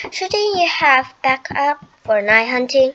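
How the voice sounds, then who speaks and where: A woman performs a put-on character voice with a high pitch. She speaks at a fairly slow pace. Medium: read story. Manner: nervous.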